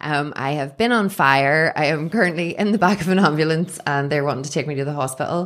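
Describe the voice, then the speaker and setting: A woman with a Northern Irish accent speaks at a fairly quick pace with hardly any pauses. Her pitch is very deep and low with ordinary variation, in a very clean recording with a silent background. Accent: Northern Irish (Belfast). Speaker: cafe owner. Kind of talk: casual interview chat. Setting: studio.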